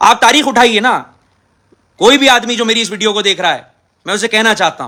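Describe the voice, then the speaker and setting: A man projects a raised voice at a moderate pace. His pitch is high and his tone bright and sharp. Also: ordinary pitch variation. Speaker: politician. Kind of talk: impassioned video statement. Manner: aggressive, forceful.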